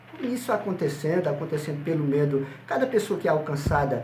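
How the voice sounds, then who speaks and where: Fairly high male voice at a fairly quick pace, with audible room echo and noticeable background noise. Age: 60s. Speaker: pastor. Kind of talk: interview.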